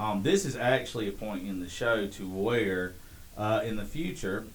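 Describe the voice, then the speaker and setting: This man has a fairly low pitch and a Southern US accent. His ordinary pitch variation carries audible room echo. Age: 30s. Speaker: podcast host. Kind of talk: casual chat.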